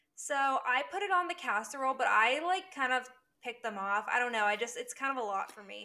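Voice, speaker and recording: The voice is raised and projected, with a bright, sharp tone and a fairly quick pace. Pitch swings very widely, and loudness swings a lot. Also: woman, high pitch for a woman. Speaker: podcast host. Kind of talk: casual chat.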